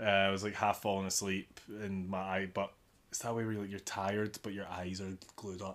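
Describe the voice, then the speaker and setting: Speaking fairly quickly in a flat monotone, a man with a slight Glaswegian accent and a fairly low pitch is heard on a very clean recording with a silent background. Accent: slight Glaswegian Scottish. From Glasgow, Scotland. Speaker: podcast host. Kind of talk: casual chat. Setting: home, watching American football.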